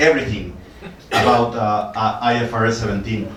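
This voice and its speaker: A man with a Mexican accent speaks at a medium pitch and a moderate pace. There is audible room echo and noticeable background noise. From Mexico. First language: Spanish. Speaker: actuarial consultant. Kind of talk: lecture. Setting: seminar with audience. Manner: halting, many fillers.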